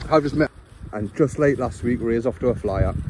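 The pace is moderate. The tone is slightly mellow. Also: man, medium pitch for a man, ordinary pitch variation.

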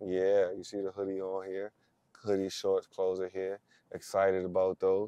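A dark, mellow voice moves at a moderate pace in a dry recording with no echo and a quiet background. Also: man. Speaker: basketball coach. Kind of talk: casual vlog chat. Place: car. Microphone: camera far.

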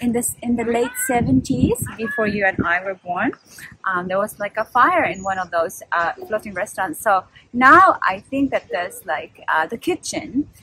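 A woman speaks at a moderate pace, and the sound is dry with no echo. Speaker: travel vlogger. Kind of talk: casual vlog chat. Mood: cheerful, chatty. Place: waterside. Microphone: phone near.

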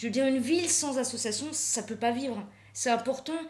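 A woman talks very fast in a high voice with ordinary pitch variation. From Alsace. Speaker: painter; guest. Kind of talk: interview. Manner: halting. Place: studio. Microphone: studio mic.

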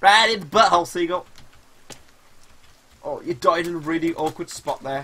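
Here a man talks at a high pitch and a moderate pace. His tone is bright and sharp. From West Midlands. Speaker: gaming streamer. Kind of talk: live gameplay stream chat. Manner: animated. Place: home room.

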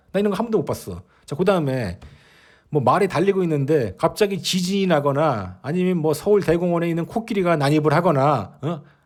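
A man's fairly high-pitched voice, animated in tone and lively in intonation, at a fairly quick pace on a very clean recording with a silent background. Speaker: horse racing betting commentator. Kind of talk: opinion monologue.

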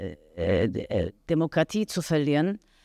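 The background is quiet. A woman speaks with a fairly low pitch and ordinary pitch variation. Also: dry sound with no echo. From Austria. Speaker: actress. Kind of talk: press interview. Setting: café press event. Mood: calm, reflective. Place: hall. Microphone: handheld.

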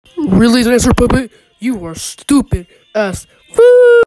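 This is a cartoonish character voice. Its pitch sits fairly high. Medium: puppet show. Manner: anxious, whiny.

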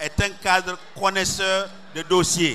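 A man projects a raised voice with fairly even intonation over light background noise. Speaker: speaker. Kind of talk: campaign speech. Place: stadium. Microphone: handheld.

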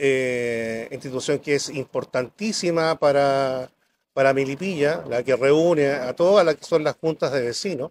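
A man's fairly high voice at a fairly slow pace, with ordinary pitch variation, light background noise and a dry sound with no echo. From Chile, rural Melipilla; Chile. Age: 60s. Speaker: businessman and council candidate; council candidate. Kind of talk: political debate. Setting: café with live audience. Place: cafe. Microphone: handheld.

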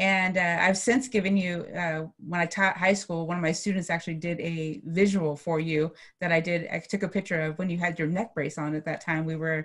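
A woman speaks at a fairly quick pace with a fairly low pitch and fairly even intonation against a quiet background. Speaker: coach, interview host. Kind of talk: interview host introduction. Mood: warm, grateful. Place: home room. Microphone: video call.

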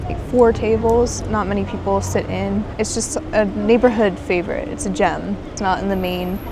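A woman speaks at a moderate pace with hardly any pauses. The sound is dry with no echo, with noticeable background noise behind it. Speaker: travel vlogger. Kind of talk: casual vlog chat. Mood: relaxed, playful. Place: waterside. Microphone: phone near.

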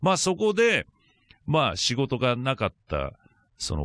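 Against a quiet background, a man speaks at a fairly slow pace with very wide pitch swings, the sound dry with no echo. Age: 50s. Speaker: radio conspiracy-corner commentator; radio guest or co-host. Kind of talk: radio talk segment, explaining a topic. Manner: hesitant, many fillers. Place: studio. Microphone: studio mic.

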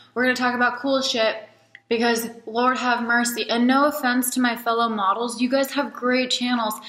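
With noticeable background noise behind her, a woman with a high pitch and an Alaskan accent speaks at a moderate pace in a monotone, flat intonation at very even loudness. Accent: American (Alaska). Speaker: model and vlogger. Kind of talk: casual vlog monologue. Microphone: poor quality camera.

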